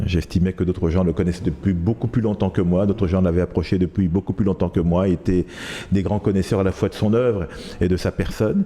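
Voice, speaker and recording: Against noticeable background noise, a man with a very deep, low pitch talks at a fairly quick pace, his intonation fairly even and his loudness very even. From Ivory Coast (Abidjan), then France from age 13. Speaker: journalist and author. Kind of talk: interview. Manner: hesitant, many fillers.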